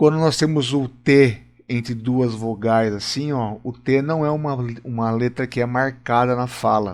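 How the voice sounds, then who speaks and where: At a fairly slow pace, a man talks with a Brazilian accent and ordinary pitch variation. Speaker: English teacher. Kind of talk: lesson. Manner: explanatory, informal.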